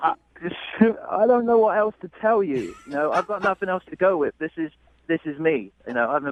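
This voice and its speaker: A man with a British accent, high in pitch, with lively intonation and a fairly quick pace. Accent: British-sounding English. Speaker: dinner date. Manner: hesitant, halting.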